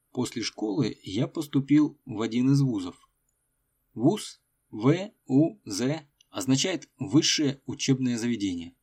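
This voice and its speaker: On a very clean recording with a silent background, the speech unfolds at a very slow pace with lively intonation. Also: man. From Russia, Tolyatti. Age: middle-aged. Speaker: podcast host, Russian teacher. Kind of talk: scripted narration for learners. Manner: slow, clear.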